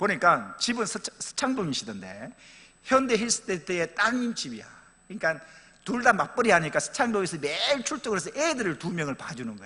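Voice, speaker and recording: A man's raised, projected voice, high-pitched and animated, fairly quick, with very wide pitch swings and big swings in loudness. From Pohang, Gyeongsang region, South Korea. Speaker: pastor. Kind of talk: church announcement and anecdote. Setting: church.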